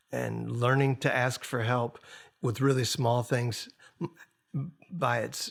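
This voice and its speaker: A man speaks at a medium pitch with ordinary pitch variation. His voice is somewhat breathy. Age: 60s. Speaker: singer-songwriter and record producer. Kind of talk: podcast interview. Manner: halting.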